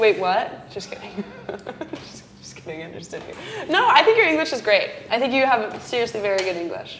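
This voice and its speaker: Amid noticeable background noise and audible room echo, a woman with an American accent speaks at a fairly quick pace in a high pitch, with very wide pitch swings and big swings in loudness. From Colorado. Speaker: acting student, podcast co-host. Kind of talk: casual chat.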